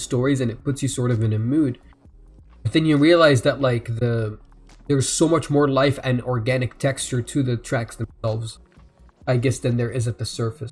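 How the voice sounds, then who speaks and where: A man's somewhat breathy voice, medium in pitch, with ordinary pitch variation. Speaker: music reaction youtuber. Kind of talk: live album reaction and review. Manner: halting, many fillers; self-described slurring.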